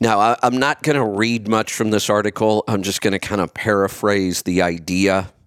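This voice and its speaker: A man's plain, everyday voice, fairly low in pitch with ordinary variation, at a moderate pace in a dry, close sound with no echo. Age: 50s. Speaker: podcast host, health commentator. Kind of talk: solo commentary.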